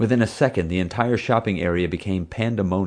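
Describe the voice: The reading aloud is plain, and the pitch varies an ordinary amount.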